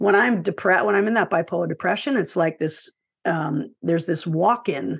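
This woman has a normal speaking voice, medium pitch and lively intonation at a moderate pace. The background is quiet. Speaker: author and filmmaker. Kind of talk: casual interview.

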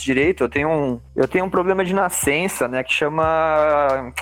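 Music plays behind the speaker. A man delivers his lines at a moderate pace with lively intonation. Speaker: comics artist and illustrator. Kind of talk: casual chat.

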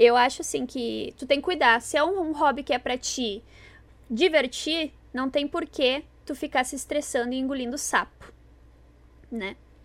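A woman's high-pitched voice in a southern Brazilian accent, moderate pace, long, frequent pauses and ordinary pitch variation, in a very clean recording with a silent background. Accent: gaúcho Brazilian Portuguese. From Rio Grande do Sul, southern Brazil. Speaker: cosplay podcast co-host. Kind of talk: casual chat. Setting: live stream.

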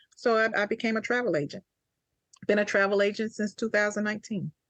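With a Mississippi accent, a woman talks at a fairly quick pace using ordinary pitch variation. The sound is dry and close with no echo, over a quiet background. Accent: Southern US (Mississippi). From US South, Jackson, Mississippi. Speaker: army veteran and travel agent. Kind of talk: interview.

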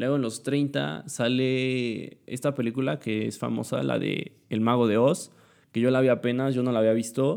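Fairly slow speech from a man at medium pitch, with ordinary pitch variation. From Mexico, Puebla. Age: young. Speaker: student podcaster. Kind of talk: casual monologue. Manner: halting, many fillers.

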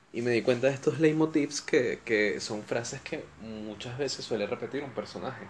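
A man with a Venezuelan accent at a medium pitch, ordinary pitch variation, a moderate pace with hardly any pauses, and big swings in loudness. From Venezuela (Caracas, raised in Valencia). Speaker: podcast host. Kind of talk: solo casual monologue. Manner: animated.

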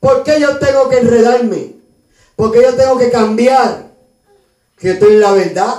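A man in a Puerto Rican accent, extremely high in pitch with an animated tone and ordinary pitch variation, very even in loudness, fairly slow, with long, frequent pauses. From Puerto Rico (Río Piedras, San Juan). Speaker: pastor. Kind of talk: sermon.

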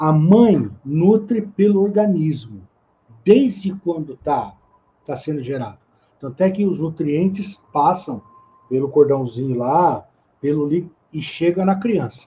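Speaking at a fairly slow pace, a man uses lively intonation at a fairly high pitch. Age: 50s. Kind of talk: casual chat.

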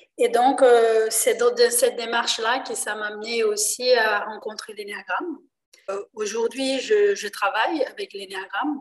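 A woman speaks at a fairly slow pace with a Portuguese accent. Her pitch is fairly high, with ordinary variation. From Brazil, Rio de Janeiro. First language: Portuguese (speaking French). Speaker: enneagram trainer. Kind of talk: interview explaining a topic. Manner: hesitant.

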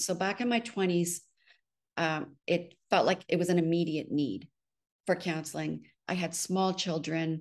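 A woman speaks at a fairly slow pace in a fairly low voice, with ordinary pitch variation. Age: 60s. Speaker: spiritual director. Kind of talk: interview testimony. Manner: halting.

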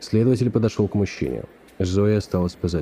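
A man speaks in a calm, dramatic tone that is dark and mellow. His pitch varies in an ordinary way. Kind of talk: audiobook narration, literary reading. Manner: measured, storytelling pace, calm; tense, suspenseful build with dramatic narration.

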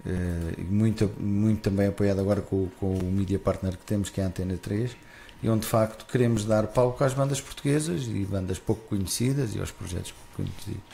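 Over noticeable background noise, a man speaks at a fairly quick pace with big swings in loudness. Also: fairly low pitch for a man, ordinary pitch variation. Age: 40s. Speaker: festival founder. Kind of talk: casual interview. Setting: live broadcast.

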